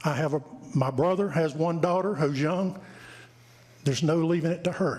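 A man speaks with a North Carolina accent. His pitch is fairly high, with ordinary pitch variation. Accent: Southern US (North Carolina). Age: 60s. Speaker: land owner speaking at public hearing. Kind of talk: public comment at town council meeting. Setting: council chamber. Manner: halting.

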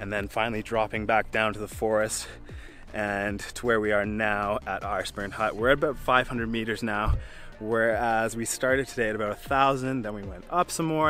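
The speech moves at a moderate pace with ordinary pitch variation, its dry, echo-free sound joined by faint music in the background. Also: man. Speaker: hiking vlogger. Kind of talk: casual vlog chat. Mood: cheerful, laughing. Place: open country. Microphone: phone near.

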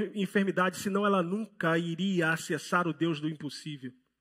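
Against a quiet background, a man with a Rio de Janeiro accent speaks at a moderate pace and with fairly even intonation. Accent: Rio de Janeiro (carioca). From Rio de Janeiro, Brazil. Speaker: pastor. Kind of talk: sermon. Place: church. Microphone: headset.

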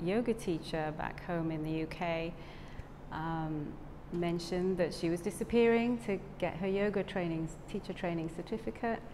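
A woman speaks at a fairly slow pace in a fairly low pitch, with ordinary pitch variation, a dark, mellow tone and noticeable background noise. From South Wales. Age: 50s. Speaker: yoga teacher trainee. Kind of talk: testimony. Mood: warm, grateful, smiling. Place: studio. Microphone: lapel.

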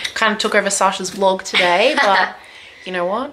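The speech comes at a fairly quick pace over noticeable background noise. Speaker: vlogger's sister. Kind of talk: casual vlog chat. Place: home room. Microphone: phone near.

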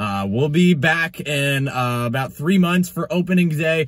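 The background is quiet as a man talks at a fairly slow pace. His voice is somewhat breathy. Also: dry sound with no echo. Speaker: vlogger. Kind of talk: casual vlog chat. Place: car. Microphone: phone near.

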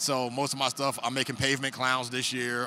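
At a fairly quick pace, a man speaks in a dry sound with no echo amid noticeable background noise. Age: 40s. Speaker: snake breeder; guest. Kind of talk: casual chat. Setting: reptile expo. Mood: relaxed, cheerful. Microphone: handheld.

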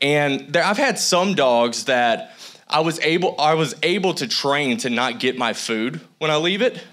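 A man speaks at a fairly slow pace with a fairly high pitch. His tone is animated and his intonation lively. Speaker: guest preacher. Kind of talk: sermon. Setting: church with congregation. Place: church. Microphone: handheld.

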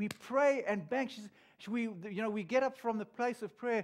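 Speaking at a moderate pace against a quiet background, a man uses an extremely high pitch, a warm tone and lively intonation. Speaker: pastor. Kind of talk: sermon. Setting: church. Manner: warm, earnest, conversational preaching with pauses and repeats. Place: church. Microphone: headset.

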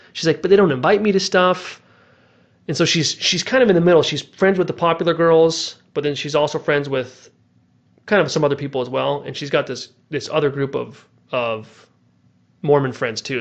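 Over a quiet background, a man with a fairly high pitch talks at a fairly quick pace with ordinary pitch variation in an unremarkable speaking voice. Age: 30s. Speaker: podcast host and novelist; podcast host. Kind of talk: casual chat. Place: home room. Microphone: headset.

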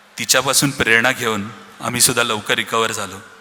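A man speaks over noticeable background noise. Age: 30s. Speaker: business owner, founder's son. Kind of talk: speech at family celebration.

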